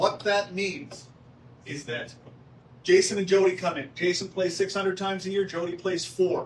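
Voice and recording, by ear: At a moderate pace, a man speaks in a high pitch with a fairly bright tone.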